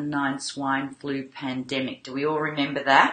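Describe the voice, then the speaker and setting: A woman's voice comes with audible room echo. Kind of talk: casual vlog chat. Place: home room.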